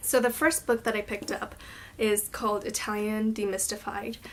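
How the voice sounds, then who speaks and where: This is an unremarkable speaking voice moving at a moderate pace. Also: woman. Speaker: language-learning vlogger. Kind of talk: casual vlog talk to camera. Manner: casual with filler words.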